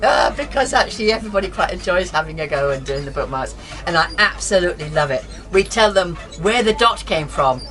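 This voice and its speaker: Against noticeable background noise, a woman with an English accent talks at a fairly quick pace. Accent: English-sounding. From Scotland, Aberdeen. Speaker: calligrapher and living-history reenactor. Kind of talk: casual interview talk. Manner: animated.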